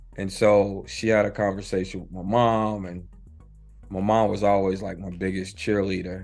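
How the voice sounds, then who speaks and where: With an American accent, the speaker talks at a fairly slow pace in a monotone, flat intonation while music plays in the background. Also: man. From Charlotte, North Carolina. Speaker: filmmaker, director. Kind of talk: interview answer.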